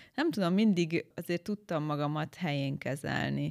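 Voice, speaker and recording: Spoken at a fairly slow pace with lively intonation, this is an unremarkable speaking voice. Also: woman. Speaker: beauty pageant winner. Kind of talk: interview.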